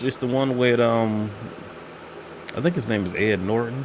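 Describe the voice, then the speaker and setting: Soft-spoken, a man talks at a fairly slow pace over noticeable background noise. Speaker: channel host, pop culture reviewer. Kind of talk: casual chat. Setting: live stream.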